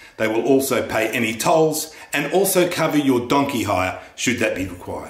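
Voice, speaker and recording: A man's voice carries audible room echo. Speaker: comic playing a government spokesman. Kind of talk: satirical mock public-information address.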